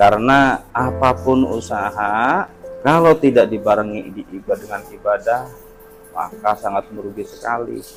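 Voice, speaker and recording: At a fairly slow pace, a man speaks with music in the background. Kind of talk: interviewer commentary to viewers.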